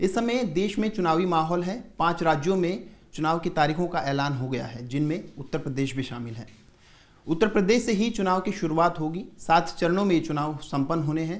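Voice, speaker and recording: A man speaks at a moderate pace. His pitch is high and his intonation lively. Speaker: news presenter. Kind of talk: news intro to camera.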